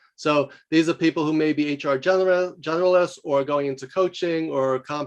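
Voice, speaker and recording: Fairly high in pitch, a man speaks with a New York accent. His intonation stays fairly even. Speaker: professor and leadership coach. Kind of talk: podcast interview. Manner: fast; loud.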